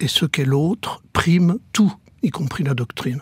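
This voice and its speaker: The voice is somewhat breathy, with ordinary pitch variation, at a very slow pace. The sound is dry and close with no echo. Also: man. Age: 70s. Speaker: former priest turned coach. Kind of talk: radio interview.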